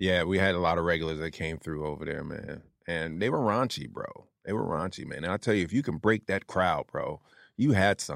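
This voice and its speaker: Against a very clean, silent background, a man with an American accent and a very deep, low pitch speaks fairly quickly with lively intonation. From New Jersey, Atlantic City. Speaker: stand-up comedian. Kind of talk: casual chat.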